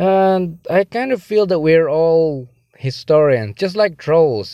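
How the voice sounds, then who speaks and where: Speaking at a fairly slow pace, a man with a plain, everyday voice uses lively intonation at a fairly high pitch. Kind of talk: voicemail message. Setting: phone voicemail.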